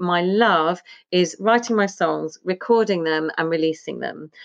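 At a moderate pace, a woman speaks in an unremarkable speaking voice of medium pitch with lively intonation. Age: 50s. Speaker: singer-songwriter and small business owner. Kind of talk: casual chat.

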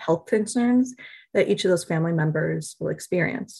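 A woman speaks very fast with an American accent and vocal fry. Her pitch varies an ordinary amount. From US Midwest, Milwaukee, Wisconsin. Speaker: nonprofit program manager. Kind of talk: interview.

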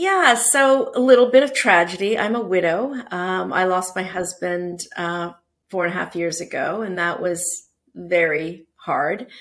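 A woman with a Canadian accent speaks fairly slowly in an ordinary speaking voice at medium pitch with ordinary pitch variation, on a very clean recording with a silent background. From Canada, Toronto. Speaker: business executive. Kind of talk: interview.

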